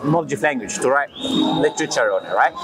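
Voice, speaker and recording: A man with a non-native accent speaks very fast with lively intonation as music plays in the background. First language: not English. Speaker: street preacher. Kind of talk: street debate.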